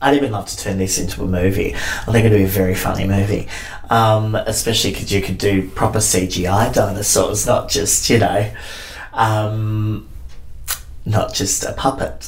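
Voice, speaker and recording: A man speaks at a moderate pace with an Australian accent. Noticeable background noise runs behind him. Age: 30s. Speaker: drag performer and theatre maker. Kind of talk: casual chat. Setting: backstage dressing room.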